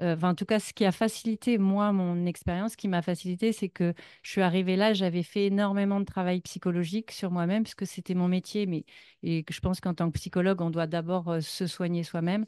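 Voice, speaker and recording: Recorded dry and close with no echo against a quiet background, a woman speaks at a fairly quick pace in a medium pitch with a dark, mellow tone and flat, monotone intonation. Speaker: psychologist, speaker sharing her path. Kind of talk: public talk, personal testimony. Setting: stage with audience at a festival. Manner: hesitant, many fillers.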